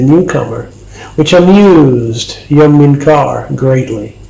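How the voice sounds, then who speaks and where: The speech moves at a fairly slow pace with lively intonation over noticeable background noise. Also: man. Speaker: country rock musician. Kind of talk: audiobook reading. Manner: relaxed.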